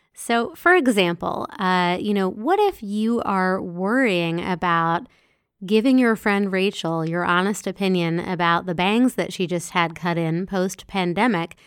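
A woman's unremarkable speaking voice at a medium pitch and fairly slow pace, with ordinary pitch variation, on a very clean recording with a silent background. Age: 40s. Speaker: podcast host and self-help author. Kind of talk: solo podcast monologue. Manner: casual with filler words.

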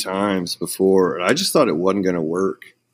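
In a very clean recording with a silent background, a man with a normal speaking voice, an American accent and a fairly low pitch talks at a moderate pace. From Oklahoma, Ponca City. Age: 30s. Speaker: metal band vocalist. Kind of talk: casual interview chat.

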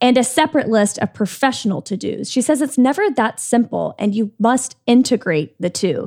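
Her voice is high, sing-song and animated, as a woman talks at a moderate pace. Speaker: podcast co-host. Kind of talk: casual interview chat. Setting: studio. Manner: animated, sing-songy.

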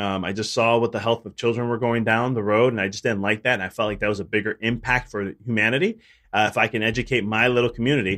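Very fast speech from a man with a Chicago accent. His pitch sits at medium. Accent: Chicago American. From Chicago, US. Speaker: chiropractor and business coach. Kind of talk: interview conversation.

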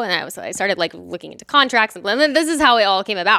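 A woman's lively, bright, sharp voice, fairly high in pitch, with an American accent, in a very clean recording with a silent background. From Texas, Dallas. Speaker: patient empowerment coach. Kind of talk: casual interview.

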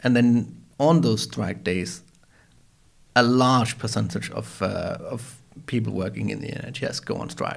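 A man with a Danish accent speaks at a very slow pace with long, frequent pauses. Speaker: podcast host. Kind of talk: interview conversation. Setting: studio. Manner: hesitant, many fillers.

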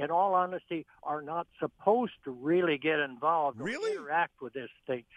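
In an American accent, a man with a plain, everyday voice talks at a moderate pace and a fairly high pitch, with ordinary pitch variation. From Arlington, Texas; formerly based in New York. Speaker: caller, former airline pilot. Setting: phone.

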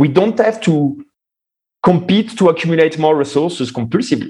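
Against a quiet background, a man with a normal speaking voice and fairly high pitch talks at a moderate pace with lively intonation. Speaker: think tank founder. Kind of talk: interview conversation.

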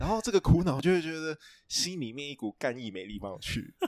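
On a very clean recording with a silent background, a man speaks with a Taiwanese accent and lively intonation. The sound is dry and close, with no echo. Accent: Taiwanese Mandarin. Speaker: book editor. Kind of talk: casual chat.

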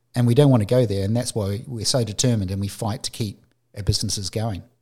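This man speaks very fast in a somewhat breathy voice at medium pitch, with ordinary pitch variation. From New Zealand. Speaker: podcast host, photographer. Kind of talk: casual chat.

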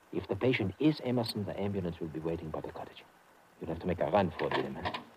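At a very fast pace, the put-on character voice has a husky, rough edge, a slightly mellow tone and lively intonation. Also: man, low pitch for a man.

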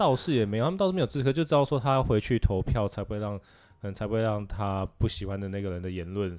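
With a quiet background, a man speaks at a very fast pace in a fairly low pitch with ordinary pitch variation. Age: 20s. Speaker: podcast co-host. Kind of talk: casual chat.

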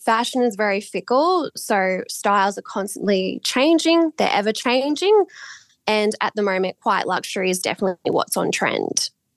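A woman's fairly high voice with an Australian accent, very wide pitch swings, very even loudness and a moderate pace, in a dry, close sound with no echo. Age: 20s. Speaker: market research analyst. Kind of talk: interview.

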